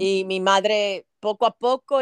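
Recorded dry and close with no echo, a woman speaks at a medium pitch with fairly even intonation. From Cuba (Havana), raised in New Orleans. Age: 60s. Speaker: Spanish teacher. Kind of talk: interview.

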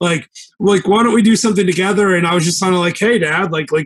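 A man talks at a fairly quick pace. His pitch is high for a man. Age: 40s. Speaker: real estate investor, former attorney. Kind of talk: casual interview chat.

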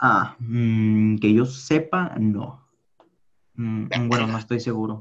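A man speaks very slowly at a medium pitch, with long, frequent pauses. His intonation stays fairly even. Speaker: podcast co-host. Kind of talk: casual chat.

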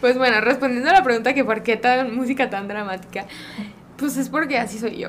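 Over noticeable background noise, a woman with a high-pitched voice talks at a fairly quick pace with ordinary pitch variation. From Mexico, Guadalajara. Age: 30s. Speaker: Olympic rhythmic gymnast. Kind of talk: casual interview.

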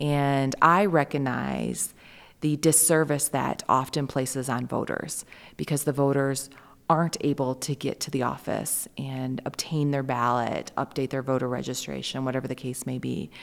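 In a very clean recording with a silent background, a woman with an Upper Midwest accent speaks at a very deep, low pitch with fairly even intonation. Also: moderate pace. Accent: Upper Midwest American. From Michigan, Lansing area. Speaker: county election clerk. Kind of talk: interview. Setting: conference venue.

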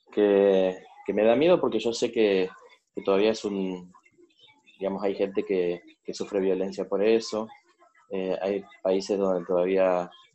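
The man speaks with a fairly low pitch and fairly even intonation. His speech has long, frequent pauses. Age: 30s. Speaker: coaching client. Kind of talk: coaching session. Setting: recorded session. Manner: halting.

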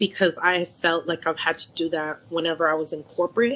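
Against a quiet background, a woman with a Bay Area accent talks at a moderate pace. Her voice is fairly low in pitch with a bright, sharp tone. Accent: California Bay Area American. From San Francisco Bay Area. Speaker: event planner. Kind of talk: casual chat.

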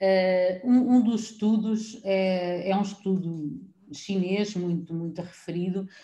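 This woman's voice has a dark, mellow tone at a medium pitch, with fairly even intonation. She talks very slowly, and room echo is audible. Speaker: preschool teacher. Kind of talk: casual chat.

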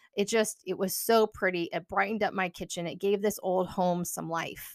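An ordinary speaking voice from a woman at a medium pitch, with fairly even intonation and a moderate pace, in a dry, close sound with no echo on a very clean recording with a silent background. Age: 40s. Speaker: podcast host and counselor. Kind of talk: casual monologue.

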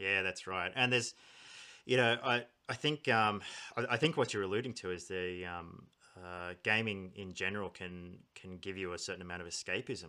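A man with an Australian accent, fairly low in pitch, bright and sharp in tone, with ordinary pitch variation and big swings in loudness. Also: moderate pace, very clean recording, silent background. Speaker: podcast host. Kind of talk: casual interview.

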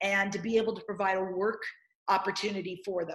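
The woman's voice is somewhat breathy. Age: 50s. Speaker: nutrition educator and author. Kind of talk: casual interview chat. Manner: halting, many repeated words.

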